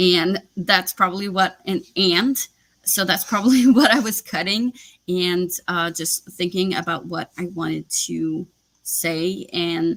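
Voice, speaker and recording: At a very slow pace, a woman speaks in a French Canadian accent. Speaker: booktuber. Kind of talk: live stream chat.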